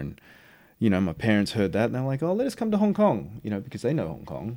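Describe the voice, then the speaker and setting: A man speaks with an Australian accent in a dark, mellow tone. The recording is very clean, with a silent background. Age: 40s. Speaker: actor. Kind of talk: casual chat. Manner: casual, filler-heavy speech.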